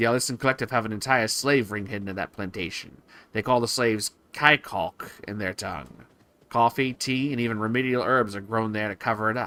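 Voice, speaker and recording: A man's put-on character voice at medium pitch, delivered at a fairly quick pace. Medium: game stream. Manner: calm, businesslike.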